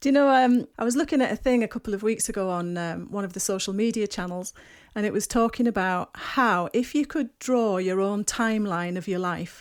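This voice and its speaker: On a very clean recording with a silent background, a woman speaks with a northeast English accent. Her medium-pitched voice moves at a fairly quick pace with ordinary pitch variation. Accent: north-east English. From north-east England, Durham. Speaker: podcast host. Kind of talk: interview conversation.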